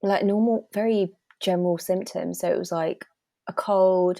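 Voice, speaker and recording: The speaker has a British accent and a moderate pace. The intonation stays fairly even. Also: woman. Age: 20s. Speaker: cancer awareness ambassador. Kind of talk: podcast interview.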